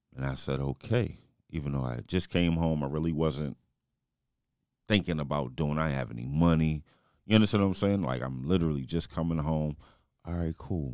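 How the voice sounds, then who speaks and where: On a very clean recording with a silent background, a man with an American accent speaks in a very deep, low voice. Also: ordinary pitch variation. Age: 40s. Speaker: podcast host. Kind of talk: casual chat.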